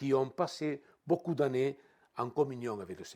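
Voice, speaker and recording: Dark, mellow male speech, very clean, over a silent background. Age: 70s. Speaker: guest preacher. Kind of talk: sermon. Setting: church. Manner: halting, repeats words.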